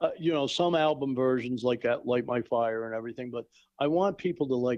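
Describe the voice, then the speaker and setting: A man talks fairly quickly in an ordinary speaking voice, his pitch medium and its variation ordinary. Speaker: tribute show organizer and performer. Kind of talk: casual chat.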